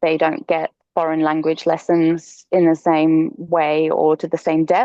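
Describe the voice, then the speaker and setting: Flat and monotone, a woman speaks at a fairly slow pace with a very deep, low pitch. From Lithuania. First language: Lithuanian. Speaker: homesteader, freelance writer and yoga teacher. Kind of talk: podcast interview.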